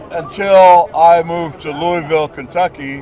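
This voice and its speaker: A man at a very slow pace, with crowd noise in the background. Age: 70s. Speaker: rugby coach and player. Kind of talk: casual street interview. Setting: outdoors in front of a stadium.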